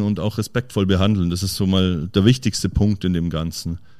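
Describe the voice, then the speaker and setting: A man with a dark, mellow tone talks at a moderate speed, his intonation fairly even. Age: young. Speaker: chef. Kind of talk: interview. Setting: in his restaurant.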